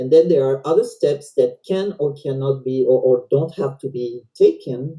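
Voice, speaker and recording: A woman speaks in a French accent with a very deep, low pitch and a dark, mellow tone. She sounds somewhat breathy, moving at a moderate pace with ordinary pitch variation. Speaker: volunteer presenter. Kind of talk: educational presentation. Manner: halting.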